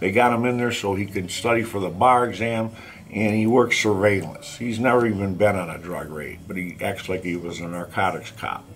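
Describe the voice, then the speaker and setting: Over noticeable background noise and audible room echo, a man speaks at a moderate pace with a fairly low pitch and ordinary pitch variation. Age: 60s. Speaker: author and former inmate. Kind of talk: vlog rant. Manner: animated; halting, many fillers.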